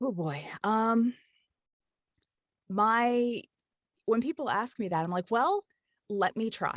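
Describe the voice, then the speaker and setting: A woman's fairly high voice with an American accent, lively intonation and a very slow pace, broken by long, frequent pauses, in a dry, close sound with no echo over a quiet background. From Kentucky. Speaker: audiobook narrator and voice actor. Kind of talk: interview. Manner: easygoing, chatty flow.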